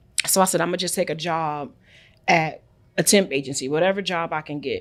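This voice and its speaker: In a Brooklyn accent, a woman with a fairly low pitch speaks at a fairly quick pace in an animated tone. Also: very clean recording, silent background. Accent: New York (Brooklyn). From New York, Brooklyn. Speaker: international trade entrepreneur. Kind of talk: podcast interview.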